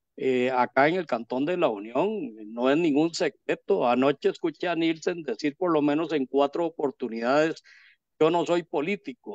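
In a Costa Rican accent, a man speaks at a moderate pace with a fairly high pitch and ordinary pitch variation. The background is quiet and the sound is dry with no echo. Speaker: interviewer. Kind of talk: interview. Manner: formal. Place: home room. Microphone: video call.

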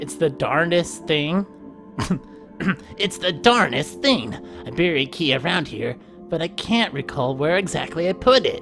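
With clear music in the background, a man uses a put-on character voice at a fairly high pitch and a moderate pace. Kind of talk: game dialogue read aloud by a streamer. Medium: game stream. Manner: puzzled, folksy, muttering to himself.

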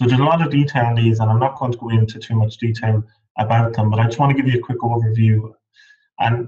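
Against a quiet background, a man with an Irish accent speaks very fast in a medium pitch, somewhat breathy, with fairly even intonation. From Ireland, Midlands; Ireland. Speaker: PhD researcher in agriculture; webinar presenter. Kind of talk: lecture. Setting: webinar. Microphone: video call.

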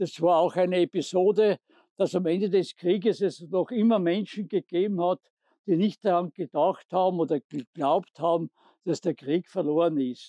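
A high-pitched male voice with a dark, mellow tone, ordinary pitch variation, moderate pace, very even loudness, and a dry, close sound with no echo. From southern Styria, Austria. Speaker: war witness guide. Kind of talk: guided tour narration.

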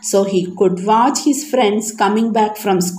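With fairly even intonation, a speaker reads aloud in a natural voice.

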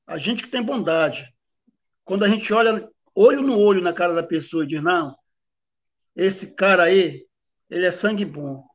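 A man speaks at a high pitch and a moderate pace. He leaves long, frequent pauses. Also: ordinary pitch variation. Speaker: samba school drum master. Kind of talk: casual interview. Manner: halting.

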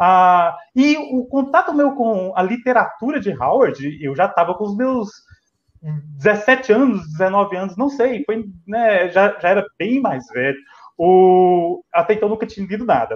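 Male speaker at a fairly slow pace, with lively intonation. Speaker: guest. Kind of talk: casual chat. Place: home room. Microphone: video call.

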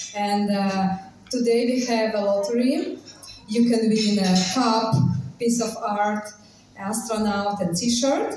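Audible room echo and music in the background accompany a woman's voice. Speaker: cafe host. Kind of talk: announcement to audience. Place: cafe. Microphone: camera far.

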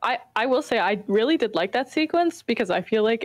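A woman is heard against a quiet background. The sound is dry with no echo. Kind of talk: casual chat. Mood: enthusiastic, affectionate. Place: home room. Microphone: video call.

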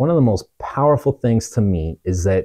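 With an American accent, the speaker delivers a dark, mellow, somewhat breathy voice at a fairly slow pace, making very wide pitch swings over a quiet background. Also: man. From Truckee, California; California. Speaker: pastor's son sharing testimony. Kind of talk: testimony. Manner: halting. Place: home room. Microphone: lapel.

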